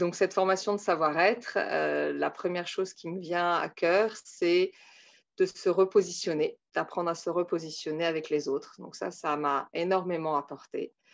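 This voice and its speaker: Against a quiet background, a woman speaks at a fairly slow pace with a fairly low pitch and fairly even intonation. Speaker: Montessori teacher. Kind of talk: testimony. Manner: hesitant, many filler sounds.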